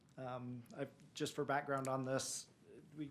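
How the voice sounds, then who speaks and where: At a fairly quick pace, a man talks in a monotone, flat intonation at a medium pitch. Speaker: city planning staff. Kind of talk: staff presentation at council meeting. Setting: city council meeting. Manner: mumbling.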